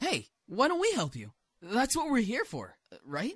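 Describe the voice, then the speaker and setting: A cheerful tone at a moderate pace. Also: man, extremely high pitch for a man. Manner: cheerful, excitable.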